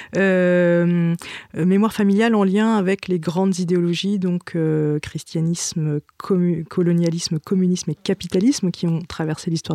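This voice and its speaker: A woman's dark, mellow voice, fairly low in pitch and fairly even in intonation, very slow, dry and close with no echo. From France, Brittany and Vietnamese family. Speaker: theatre writer and director. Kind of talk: interview. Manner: hesitant, repeats words.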